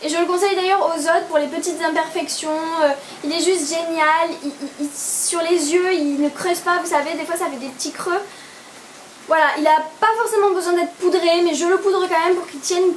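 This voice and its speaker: Audible room echo carries an extremely high female voice. She speaks fairly quickly with fairly even intonation. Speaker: beauty vlogger. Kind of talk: product review vlog. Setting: indoors, home video. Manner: hesitant, many fillers.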